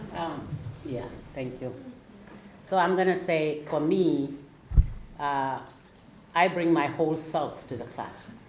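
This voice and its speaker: With an African accent, the speaker goes at a fairly slow pace with long, frequent pauses and big swings in loudness, amid noticeable background noise and audible room echo. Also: woman, very deep, low pitch for a woman, ordinary pitch variation. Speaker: teacher. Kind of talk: panel discussion.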